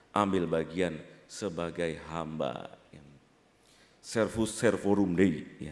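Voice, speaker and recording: Audible room echo surrounds a man speaking with a Jakarta accent. His very deep, low voice moves at a very slow pace with fairly even intonation. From Jakarta, Indonesia. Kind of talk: sermon. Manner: conversational, frequent filler 'ya'.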